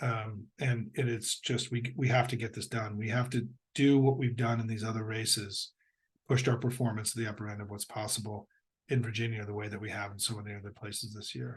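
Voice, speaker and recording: Somewhat breathy, fairly quick speech in an American accent with monotone, flat intonation. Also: man, medium pitch for a man. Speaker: political strategist giving briefings. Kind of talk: political briefing to supporters.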